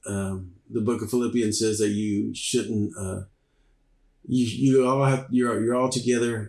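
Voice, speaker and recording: A man talks at a moderate pace and medium pitch. His intonation is monotone and flat. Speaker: worship leader and church musician. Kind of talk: interview conversation. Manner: sounds like he's mad, intense; hesitant with many fillers.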